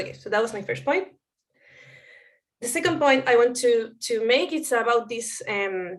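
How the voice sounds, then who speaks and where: With a Spanish accent, a woman talks at a fairly quick pace. Her pitch is fairly high, with ordinary variation. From Chile. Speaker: anthropologist and researcher. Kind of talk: conference talk. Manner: halting, with fillers.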